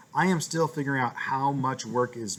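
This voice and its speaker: Medium-pitched male voice with ordinary pitch variation. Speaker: elementary school teacher. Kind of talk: class update video for parents. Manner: fast.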